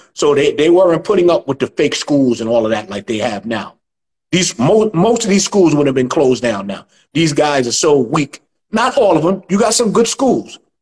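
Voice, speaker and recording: A man speaks with a New York accent, his pitch fairly high and swinging very widely. Vocal fry runs through his voice. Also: moderate pace. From New York City (Chinatown). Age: 60s. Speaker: martial arts instructor. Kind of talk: interview.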